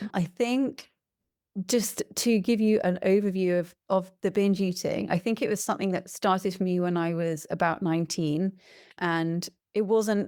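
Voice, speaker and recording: In an English accent, a woman speaks at a moderate pace and a medium pitch with fairly even intonation. Her tone is dark and mellow, in a very clean recording with a silent background. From England. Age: 40s. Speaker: podcast guest sharing personal experience. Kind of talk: interview testimony.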